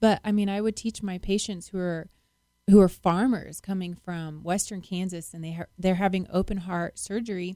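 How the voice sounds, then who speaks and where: A woman's medium-pitched voice, dark and mellow in tone, at a moderate pace with fairly even intonation and big swings in loudness, in a very clean recording with a silent background. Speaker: nurse. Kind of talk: radio interview. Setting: studio.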